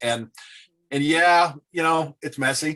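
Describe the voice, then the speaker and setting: A man speaks with ordinary pitch variation. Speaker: conservation nonprofit advisor. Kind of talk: webinar Q&A. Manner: fast.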